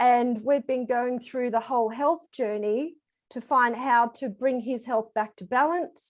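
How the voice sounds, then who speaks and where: In an Australian accent, a woman speaks fairly slowly at a high pitch with fairly even intonation. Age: 40s. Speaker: program participant giving testimonial. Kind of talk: testimony.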